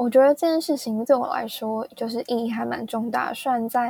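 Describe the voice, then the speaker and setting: A woman talks at a moderate pace with a high pitch. Her tone is dark and mellow. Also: dry, close sound with no echo. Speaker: podcast host. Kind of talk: casual storytelling monologue.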